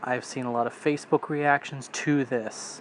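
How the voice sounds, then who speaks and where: A deadpan man with an American accent, fairly high-pitched, at a moderate pace. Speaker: wrestling commentary YouTuber. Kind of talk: casual vlog commentary. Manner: monotone.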